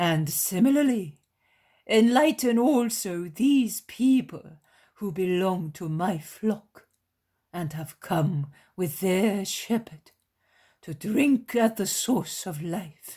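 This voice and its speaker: A man performs a put-on character voice, high-pitched with lively intonation, at a very slow pace. The recording is very clean, with a silent background. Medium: read story. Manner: reverent, measured.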